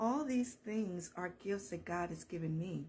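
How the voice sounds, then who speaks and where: Somewhat breathy, the voice moves at a fairly slow pace with an American accent. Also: woman. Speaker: counselor and motivational speaker. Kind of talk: faith-based motivational talk. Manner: animated.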